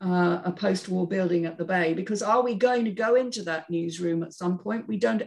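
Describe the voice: A woman talks at a moderate pace with a fairly low pitch and ordinary pitch variation. Her tone is slightly mellow, touched with vocal fry.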